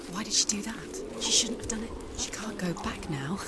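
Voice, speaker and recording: A woman's whispered, put-on character voice at a moderate pace over loud background noise. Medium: machinima.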